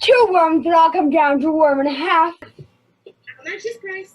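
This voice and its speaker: An extremely high-pitched put-on character voice. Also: moderate pace. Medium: stage play. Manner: brisk, casual street-hawker patter.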